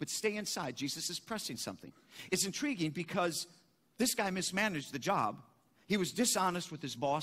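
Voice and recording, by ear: Here someone is reading aloud in a natural voice.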